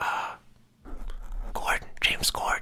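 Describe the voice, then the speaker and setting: Whispering over noticeable background noise. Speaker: ASMR creator. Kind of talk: casual rambling talk to camera. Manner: rambling, hesitant, full of filler words.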